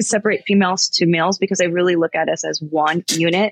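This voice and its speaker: A normal speaking voice with an American accent moves at a fairly quick pace. The sound is dry and close, with no echo. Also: woman. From California, US. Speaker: executive protection agent and firearms instructor. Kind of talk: casual interview.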